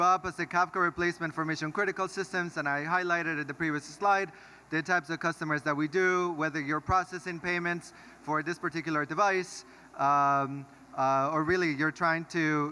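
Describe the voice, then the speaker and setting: Bright and sharp in tone, this man speaks with an American accent. His pitch is high and his intonation fairly even. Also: very clean recording, silent background. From US Northeast, Brooklyn, New York. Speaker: tech company founder and CEO. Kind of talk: conference talk.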